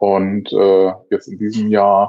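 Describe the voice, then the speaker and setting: A man's fairly low voice at a very slow pace. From northern Germany, North Sea coast near Wilhelmshaven. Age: 30s. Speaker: motorcyclist and father. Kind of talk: casual chat.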